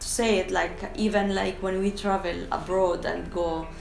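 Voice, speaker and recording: Through noticeable background noise and audible room echo, a woman's voice comes across. She speaks at a medium pitch and a moderate pace with an Arabic accent. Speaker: translator. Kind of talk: documentary interview. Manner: halting.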